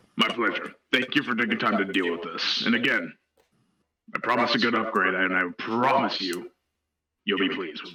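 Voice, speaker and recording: A man's strained, put-on character voice at medium pitch and moderate pace, with long, frequent pauses. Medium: actual play. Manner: informal, rambling with fillers.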